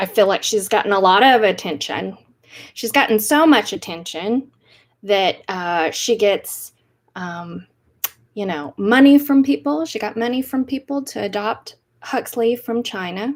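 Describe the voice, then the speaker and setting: Speaking in an American accent, a woman keeps a fairly slow pace and lively intonation. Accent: toned-down Southern. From Appalachia, US South. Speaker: YouTuber, Korean adoptee. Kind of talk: casual livestream talk. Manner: hesitant, many fillers.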